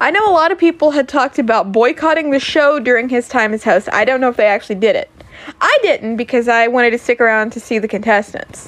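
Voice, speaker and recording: A woman speaks loudly at a very fast pace, her high-pitched voice animated with lively intonation. Noticeable background noise runs underneath. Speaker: podcaster and streamer. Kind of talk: casual monologue.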